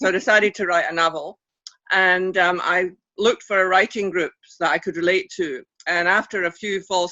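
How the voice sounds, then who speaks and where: A woman speaks in a Scottish accent at a medium pitch. Her pace is moderate and her intonation fairly even. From Scotland. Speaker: author. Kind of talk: interview. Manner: halting, many fillers.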